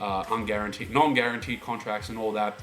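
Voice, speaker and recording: At a very fast pace, a man with an Australian accent speaks at a medium pitch. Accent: Australian, noticeable. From Australia, Melbourne. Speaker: sports fan vlogger. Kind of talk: casual monologue.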